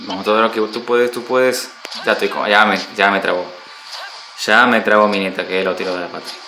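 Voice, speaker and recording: Through noticeable background noise and audible room echo, a man talks at a fairly quick pace in a fairly low pitch. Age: 30s. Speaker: gaming streamer. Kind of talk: live gaming stream. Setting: at home. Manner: animated.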